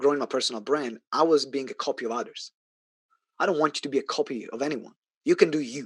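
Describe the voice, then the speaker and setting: Speaking very fast, a man with an Italian accent has a fairly high pitch. His pitch varies in an ordinary way, and the sound is dry and close with no echo. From Italy. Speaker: business coach. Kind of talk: sales pitch. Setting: online event. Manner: loud; animated.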